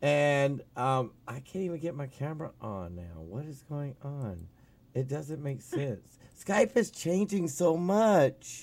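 Very slowly and with very wide pitch swings, a man speaks at a fairly high pitch on a very clean recording with a silent background. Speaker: talk radio co-host. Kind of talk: casual talk radio chat. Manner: animated.

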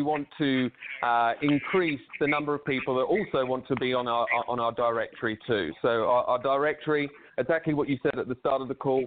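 With an English accent, a man speaks at a fairly quick pace in a fairly high pitch. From England. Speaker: recruiting tech co-founder. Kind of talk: interview. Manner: halting.

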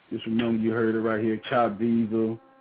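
Against noticeable background noise, a man with a Southern US accent speaks at a moderate pace. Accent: Southern US accent, country. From South Carolina. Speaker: rapper. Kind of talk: casual interview. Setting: phone call.

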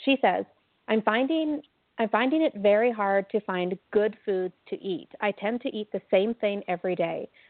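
In a normal speaking voice, a woman of medium pitch talks at a moderate pace with lively intonation. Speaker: co-host relaying listener questions. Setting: remote call.

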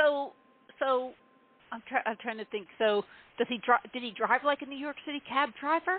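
A woman speaks at a high pitch with ordinary pitch variation, big swings in loudness, and long, frequent pauses. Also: moderate pace. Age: around 60. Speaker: podcast host. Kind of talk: casual interview.

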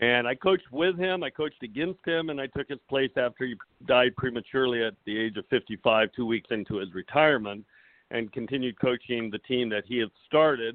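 Here a man speaks in a plain, everyday voice. His medium pitch shows ordinary variation. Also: fairly quick pace. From Southern California. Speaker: high school tennis coach and author. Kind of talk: interview conversation.

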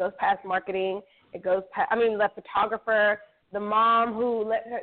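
An unremarkable speaking voice at a fairly quick pace, with fairly even intonation. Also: woman. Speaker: radio co-host. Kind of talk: casual chat.

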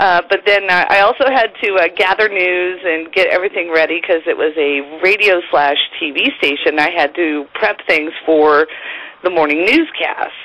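Over noticeable background noise, a woman with a fairly low voice speaks at a moderate pace. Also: ordinary pitch variation, very even loudness. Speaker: morning radio co-host. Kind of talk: casual interview chat.

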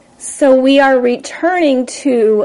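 With noticeable background noise, a woman talks very slowly in a high voice, her pitch varying in an ordinary way. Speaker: astrology podcast host. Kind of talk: podcast monologue.

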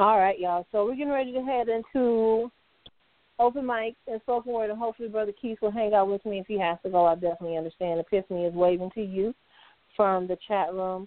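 Speaking at a very fast pace, a woman with a medium pitch and a warm tone shows ordinary pitch variation. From US Midwest, Detroit. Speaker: internet radio host. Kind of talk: casual interview and call-in show. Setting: online call-in radio. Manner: warm, effusive.

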